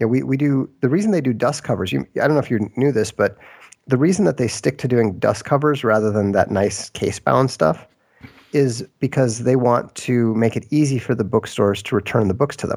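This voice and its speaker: An unremarkable speaking voice moves at a fairly quick pace with ordinary pitch variation. Loudness stays very even throughout. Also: man, medium pitch for a man. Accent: American. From Minnesota, US Midwest. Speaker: author and game designer. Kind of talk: interview.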